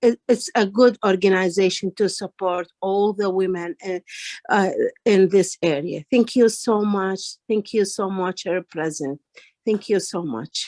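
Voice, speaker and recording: Recorded with a dry, close sound and no echo, a woman with a non-native accent speaks fairly slowly at a medium pitch with ordinary pitch variation. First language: not English. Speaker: ESL student at women's organization. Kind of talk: testimony. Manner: halting.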